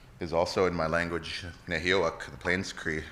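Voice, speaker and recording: A man speaks in a very deep, low voice at a moderate pace. Noticeable background noise runs beneath him. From Alberta, Canada. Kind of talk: ceremonial introduction and prayer.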